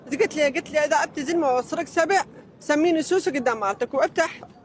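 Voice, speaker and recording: A man with an extremely high-pitched, animated voice talks at a fairly quick pace with ordinary pitch variation over noticeable background noise. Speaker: interviewee. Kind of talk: casual chat. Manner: animated storytelling.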